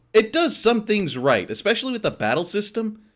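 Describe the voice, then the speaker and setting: A man speaks with music playing in the background. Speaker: video game streamer. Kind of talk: casual stream commentary.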